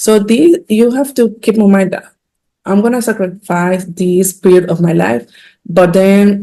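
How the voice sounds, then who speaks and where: In a Dominican accent, a woman talks at a fairly slow pace with a dark, mellow tone. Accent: non-native English, Dominican Spanish. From Dominican Republic. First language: Spanish. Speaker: physician and healthcare executive. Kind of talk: podcast interview.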